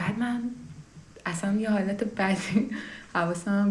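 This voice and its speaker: Somewhat breathy, a woman speaks at a moderate pace with ordinary pitch variation, and audible room echo fills the recording. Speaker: podcast host. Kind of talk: personal monologue.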